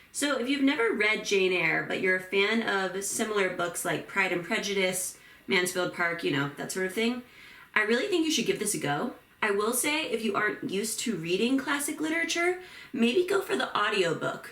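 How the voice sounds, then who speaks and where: A woman speaks at a moderate pace in a fairly high pitch, her voice making very wide pitch swings. There is audible room echo. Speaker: beauty and book vlogger. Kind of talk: get ready with me tutorial. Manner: casual, chatty.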